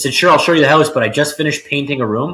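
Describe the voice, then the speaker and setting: A loud man with a Canadian accent, fairly high in pitch, with a bright, sharp tone. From Ontario, Canada (Richmond Hill). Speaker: real estate agent. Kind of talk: podcast interview.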